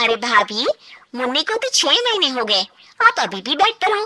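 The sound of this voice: Using a cartoonish character voice, a woman speaks at a moderate pace with a high pitch and very wide pitch swings.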